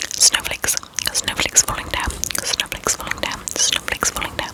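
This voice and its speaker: A woman is whispering with noticeable background noise behind her. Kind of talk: ASMR trigger words. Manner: whispered.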